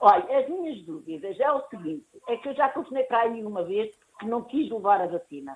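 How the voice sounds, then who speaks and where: Very wide pitch swings in a woman's fairly high voice, delivered at a fairly quick pace. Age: 70s. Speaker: caller. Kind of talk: phone-in question. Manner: halting.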